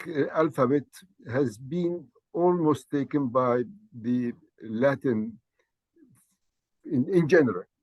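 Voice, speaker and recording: A man with an Arabic accent speaks at a fairly high pitch with lively intonation. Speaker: language teacher. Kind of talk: lecture. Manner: halting, many fillers.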